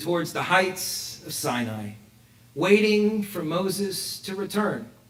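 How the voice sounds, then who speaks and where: Speaking with an American accent, a man with a high pitch talks very slowly, with audible room echo. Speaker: rabbi. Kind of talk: sermon. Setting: synagogue with congregation, also streamed online. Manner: animated, rhetorical questions.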